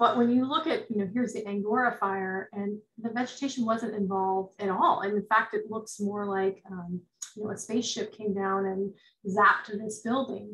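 A woman's fairly high voice at a moderate pace, fairly even in intonation, over a quiet background. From US West Coast, rural Northern California. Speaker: forestry extension advisor. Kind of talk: lecture; webinar talk and Q&A answer. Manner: halting. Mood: thoughtful, calm. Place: home room. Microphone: webcam.

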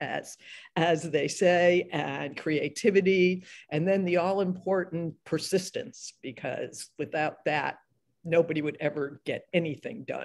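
Against a quiet background, a woman talks at a very slow pace in a fairly low pitch. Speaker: novelist and panel moderator; panelist. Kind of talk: panel discussion. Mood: warm, animated. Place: home room. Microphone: video call.

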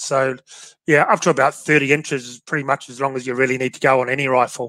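With an Australian accent, a man talks at a fairly quick pace in a fairly high pitch and a bright, sharp tone, his intonation monotone and flat, the sound dry with no echo and the background quiet. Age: 40s. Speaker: shooting podcast host. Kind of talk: casual chat. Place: home room. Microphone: headset.

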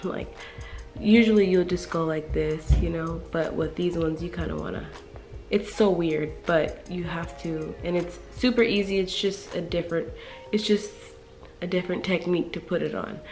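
A woman at a moderate pace, faint music in the background. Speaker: beauty YouTuber. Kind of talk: casual talk to camera. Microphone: phone near.

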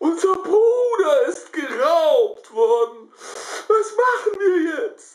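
Very slow put-on character voice at an extremely high pitch, full of very wide pitch swings. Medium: read story. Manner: panicked, shouting.

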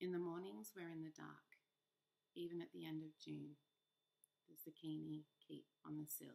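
Soft-spoken and gentle in tone, the voice moves at a moderate pace. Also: woman. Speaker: poet reader. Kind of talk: poem reading. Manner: gentle, soft, measured. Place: home room. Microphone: webcam.

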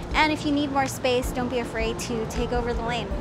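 Clear music plays in the background as a woman talks at a fairly quick pace, her voice dry with no echo. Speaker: cycling vlogger. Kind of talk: casual vlog tutorial. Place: street. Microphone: lapel.

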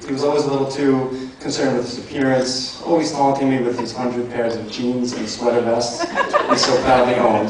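Strong room echo and noticeable background noise surround a man who speaks with hardly any pauses. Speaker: best man; elementary school teacher. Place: hall. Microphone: handheld.

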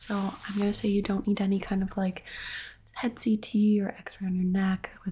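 A soft-spoken, somewhat breathy woman's voice with a dark, mellow, gentle tone, monotone and flat, at a fairly slow pace over light background noise. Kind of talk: soft role-play exam talk to viewer. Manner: soft, gentle ASMR-style speaking. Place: home room.

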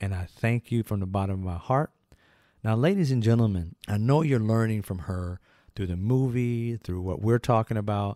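Against a quiet background with a dry sound and no echo, a man speaks at a moderate pace in a fairly low pitch, with a dark, mellow tone and ordinary pitch variation. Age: 50s. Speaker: history channel host. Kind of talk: educational biography talk. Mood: earnest, appreciative. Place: studio. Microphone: studio mic.

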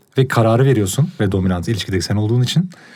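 Against a silent background on a very clean recording, a man speaks in a dark, mellow tone. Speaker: podcast co-host. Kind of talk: casual chat. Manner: intellectual, weighty delivery.

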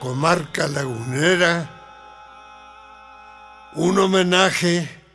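A man speaks very slowly at a high pitch with ordinary pitch variation. Faint music plays in the background. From northern Mexico, La Laguna region. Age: 80s+. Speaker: poetry reciter. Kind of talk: spoken introduction to a poem. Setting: studio. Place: studio.

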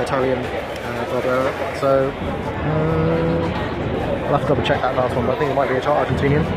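A man speaks with crowd noise in the background. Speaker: wine reviewer. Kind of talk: casual vlog chat. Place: bar. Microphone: phone near.

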